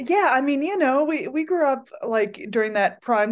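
Against a quiet background, a woman has an ordinary speaking voice. She speaks at a moderate pace with lively intonation. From Pennsylvania, Pocono Mountains. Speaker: musician. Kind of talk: casual chat.

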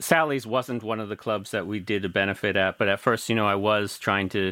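With an American accent, a man talks at a moderate pace and a fairly low pitch in an unremarkable speaking voice. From US Midwest, rural Missouri. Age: 50s. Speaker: DJ and music producer. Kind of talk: interview. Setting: remote call.

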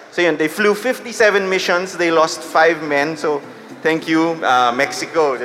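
A high-pitched man speaks at a moderate pace with lively intonation. Noticeable background noise runs behind him. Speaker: podcast host and publishing veteran. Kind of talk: live panel storytelling. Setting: stage with audience.

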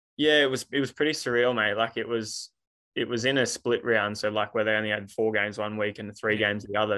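Fairly quick speech in an Australian accent, flat and monotone in intonation. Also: man. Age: 20s. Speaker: rugby league referee. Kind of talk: casual interview.

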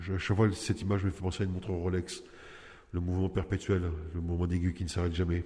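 A man talks very fast in a very deep, low voice with flat, monotone intonation. His tone is dark, mellow and somewhat breathy. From Nice, southern France. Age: 40s. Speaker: prisoner. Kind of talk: personal testimony. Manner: halting, with hesitations.

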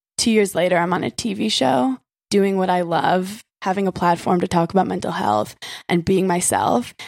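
A woman's unremarkable speaking voice with an American accent, medium pitch, ordinary pitch variation and a moderate pace, dry and close with no echo. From Brooklyn, New York. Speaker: reality TV personality. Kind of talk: casual chat. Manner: casual, filler-heavy.

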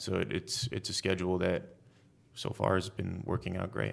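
A man speaks with an American accent in a very deep, low voice. The recording is very clean, with a silent background. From California. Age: 30s. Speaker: actor. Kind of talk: interview.

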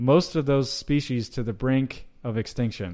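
A man with an American accent speaks in an ordinary speaking voice at a medium pitch, with fairly even intonation, on a very clean recording with a silent background. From US South, North Georgia. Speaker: meat company sales director. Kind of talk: interview.

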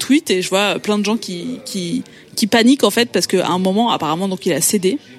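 Noticeable background noise sits behind a woman who talks at a fairly quick pace, her medium pitch showing ordinary variation. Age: young. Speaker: podcast columnist. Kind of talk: storytelling. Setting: restaurant.

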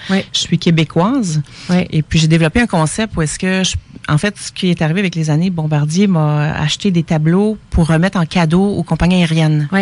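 Fairly low-pitched woman's voice at a moderate pace, with fairly even intonation and noticeable background noise. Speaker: painter. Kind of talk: casual radio interview. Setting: radio studio.

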